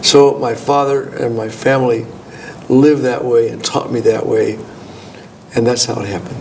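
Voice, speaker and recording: Long, frequent pauses break up a man's medium-pitched, fairly even delivery in an American accent, with audible room echo and noticeable background noise. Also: moderate pace. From California. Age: 70s. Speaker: gynecologist. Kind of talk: interview. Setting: conference.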